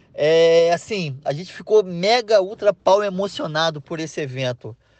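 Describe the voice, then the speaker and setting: In an enthusiastic, animated tone, a man with a high pitch speaks at a fairly slow pace with ordinary pitch variation. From Rio de Janeiro, Brazil. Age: 30s. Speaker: air-conditioning installer. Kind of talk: interview.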